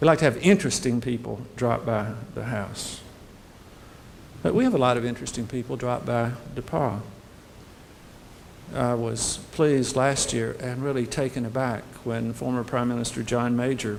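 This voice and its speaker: Speaking at a moderate pace, a man uses a Southern US accent and a medium pitch. His intonation is fairly even, with long, frequent pauses. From US South, Birmingham, Alabama. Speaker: university president. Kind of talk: welcome speech to prospective students. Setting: hotel reception with audience.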